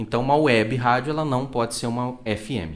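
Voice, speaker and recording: At a fairly slow pace, a man speaks in an unremarkable speaking voice with a medium pitch and ordinary pitch variation. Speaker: radio announcer. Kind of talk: podcast interview answer.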